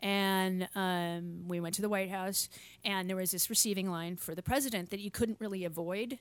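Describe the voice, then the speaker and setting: A woman speaks in a normal speaking voice at a medium pitch. Her pace is fairly quick. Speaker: podcast host. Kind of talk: casual chat. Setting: video call.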